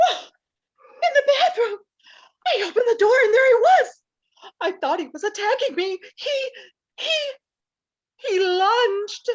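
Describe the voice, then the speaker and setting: A woman puts on a character voice at an extremely high pitch, with lively intonation. She speaks at a moderate pace with long, frequent pauses. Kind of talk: comic overacting. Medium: stage play. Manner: gasping, breathless, easily alarmed.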